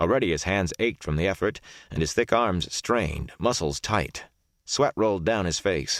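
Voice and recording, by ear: The speaker reads aloud in a natural voice, with only quiet behind it.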